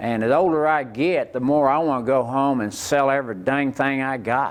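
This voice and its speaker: A man with an Oklahoma accent talks at a moderate pace in a medium pitch, with ordinary pitch variation. Noticeable background noise sits behind him. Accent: Oklahoma rural Southern US. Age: 60s. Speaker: rodeo performer. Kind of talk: interview.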